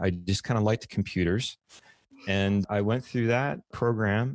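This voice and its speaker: This man has an American accent and a fairly low pitch. The sound is dry and close, with no echo. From US South, New Orleans. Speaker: podcast host, UX designer. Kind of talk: casual podcast chat. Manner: many fillers (uh) and repeated words.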